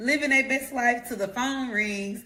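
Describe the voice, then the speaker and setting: There is audible room echo around a woman speaking with ordinary pitch variation. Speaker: life coach. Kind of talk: motivational talk. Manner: loud; animated.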